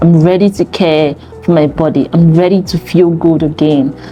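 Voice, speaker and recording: With music in the background, the speech moves at a moderate pace with fairly even intonation. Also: woman. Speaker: fitness coach. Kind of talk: talking-head advice video.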